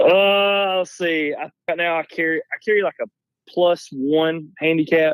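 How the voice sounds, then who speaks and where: The speaker talks in a Southern US accent. The pace is fairly slow. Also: man, high pitch for a man. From North Alabama. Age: 30s. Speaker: golf teaching pro and hunter. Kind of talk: casual chat. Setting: phone call.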